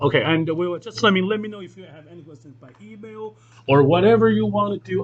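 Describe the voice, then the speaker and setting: At a fairly quick pace, a man speaks in a high pitch with very wide pitch swings. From China. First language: Chinese. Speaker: piano teacher. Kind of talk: lecture.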